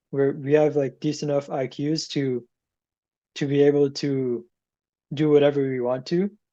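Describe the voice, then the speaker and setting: Fairly high yet dark and mellow, a man's voice stays monotone with flat intonation. He keeps a moderate pace, with long, frequent pauses. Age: young. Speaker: podcast co-host. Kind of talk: casual chat.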